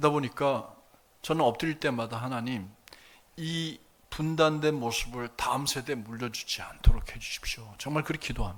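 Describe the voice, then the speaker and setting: Here a man talks in an ordinary speaking voice at a moderate pace. His pitch is fairly high, with ordinary pitch variation. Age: 60s. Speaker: pastor. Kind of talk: sermon. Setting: church service with congregation.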